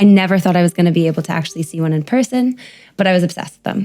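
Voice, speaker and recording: Speaking at a very fast pace, the voice has lively intonation and an American accent. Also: woman. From US, New York City. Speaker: primatologist. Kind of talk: podcast interview.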